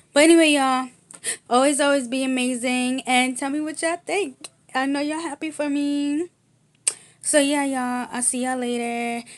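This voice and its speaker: A woman speaks in a high voice at a moderate pace, with ordinary pitch variation. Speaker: youtuber. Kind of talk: casual vlog. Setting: at home. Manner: halting. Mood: cheerful, excited. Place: home room. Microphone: webcam.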